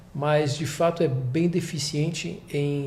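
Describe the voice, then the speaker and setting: Somewhat breathy and fairly high-pitched, a man talks with fairly even intonation amid audible room echo. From France. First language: French (speaking Portuguese). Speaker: investment executive. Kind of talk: interview. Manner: halting.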